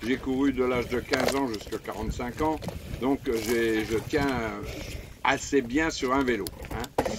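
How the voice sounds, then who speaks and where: A man speaks at a medium pitch, fairly slowly, with long, frequent pauses. His intonation is fairly even, and there is noticeable background noise. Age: 70s. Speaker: vlogger and retired amateur cyclist. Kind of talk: casual vlog narration while cycling. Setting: outdoors on a bike ride. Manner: hesitant, many fillers.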